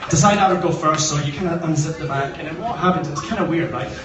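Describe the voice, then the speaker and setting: A man's fairly high-pitched voice at a very fast pace, with noticeable background noise. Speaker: best man. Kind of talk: wedding speech. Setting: wedding reception, phone recording. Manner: casual, joking, hesitant.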